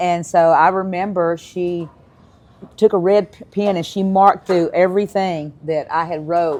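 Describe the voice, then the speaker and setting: A woman with a Texas accent speaks at a fairly slow pace and a fairly low pitch. Her intonation is monotone and flat, with big swings in loudness. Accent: Southern US (Texas). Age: 60s. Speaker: podcast host, community program leader. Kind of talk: casual interview chat. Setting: live studio recording. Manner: halting, many fillers.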